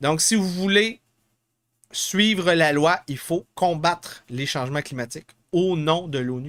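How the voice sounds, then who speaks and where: Speaking very slowly with a Quebec accent, a man uses a high pitch and ordinary pitch variation in a very clean recording with a silent background. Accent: Québécois French. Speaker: political podcast host. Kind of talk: live podcast commentary on news. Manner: halting, many fillers.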